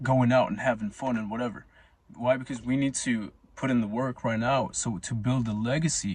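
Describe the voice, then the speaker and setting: Speaking fairly quickly with fairly even intonation, a man uses a plain, everyday voice of medium pitch. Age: 20s. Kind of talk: casual monologue to camera.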